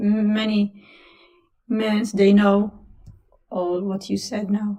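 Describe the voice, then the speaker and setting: A woman's fairly high voice in a strong Italian accent. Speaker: caller. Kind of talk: casual chat.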